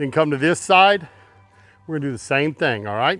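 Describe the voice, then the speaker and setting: Over music in the background, a man with a Texan accent speaks at a fairly quick pace in a fairly high pitch. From Texas. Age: 60s. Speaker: barbecue cook. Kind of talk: cooking tutorial. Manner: casual.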